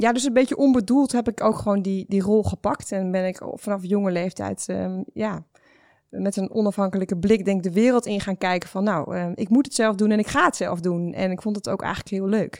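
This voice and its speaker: Here is a woman with a plain, everyday voice at a medium pitch and ordinary pitch variation. She talks at a fairly quick pace on a very clean recording with a silent background. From Netherlands, village of Nes. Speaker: startup founder. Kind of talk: interview.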